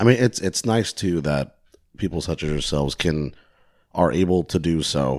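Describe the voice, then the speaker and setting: Speaking in an American accent, a man with a very deep, low voice uses lively intonation at a moderate pace. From US West Coast, South Bay. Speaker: podcast host. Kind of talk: casual chat.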